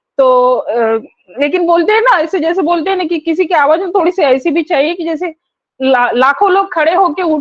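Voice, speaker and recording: Loud and lively in intonation, a woman speaks at an extremely high pitch. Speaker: webinar host. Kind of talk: online webinar hosting.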